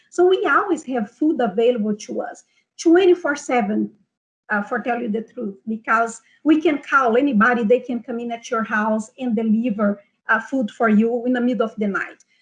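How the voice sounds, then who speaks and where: A woman speaks with a Brazilian Portuguese accent, her pitch high and her intonation lively. The background is quiet. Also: moderate pace. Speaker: nutrition health coach. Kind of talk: online seminar. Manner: hesitant, many fillers.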